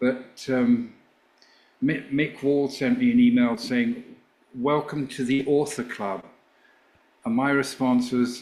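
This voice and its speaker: The speaker has an English accent and ordinary pitch variation. The pace is fairly slow. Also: man. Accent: English accent, kept. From England. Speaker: former rock band manager, author. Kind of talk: interview.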